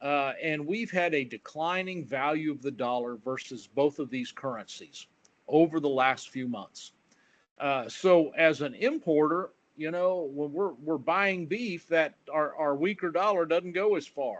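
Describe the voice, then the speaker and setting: Against a quiet background, a man with a plain, everyday voice talks at a fairly slow pace, his pitch fairly high and ordinary in variation. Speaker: agricultural economist. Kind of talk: webinar presentation.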